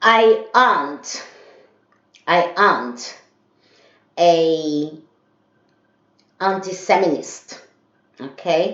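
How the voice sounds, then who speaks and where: With a Brazilian accent, a woman talks at a very slow pace in a fairly low voice with ordinary pitch variation. She pauses long and often, and audible room echo is present. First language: Portuguese. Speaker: vlogger. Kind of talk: casual monologue vlog. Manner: hesitant, many fillers.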